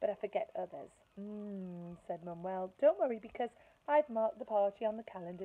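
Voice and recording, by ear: Someone reads aloud here in a natural voice.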